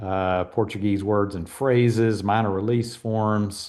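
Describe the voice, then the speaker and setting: A man talks at a moderate pace in a fairly low pitch, with fairly even intonation, against a quiet background. His is a plain, everyday voice. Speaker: mission trip trainer. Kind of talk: online training presentation.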